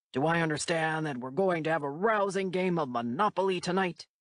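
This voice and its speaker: A put-on character voice at a middle pitch. It moves along at a fairly quick pace. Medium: read story. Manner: folksy, jovial.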